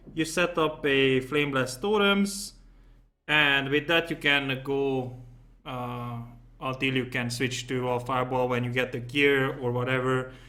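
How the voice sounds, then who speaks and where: A man speaks with a non-native accent. His pace is fairly slow and his pitch medium. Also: ordinary pitch variation. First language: not English. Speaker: gaming YouTuber. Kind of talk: game build tutorial. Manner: casual with many fillers.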